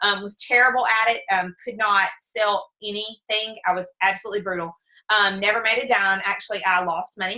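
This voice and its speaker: A woman speaks with a bright, sharp tone. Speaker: network marketing team leader. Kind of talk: training presentation. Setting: video call. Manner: fast.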